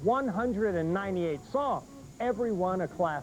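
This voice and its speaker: Over music in the background, a man speaks at a fairly slow pace with very wide pitch swings and an upbeat, enthusiastic tone. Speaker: infomercial host. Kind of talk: TV infomercial pitch.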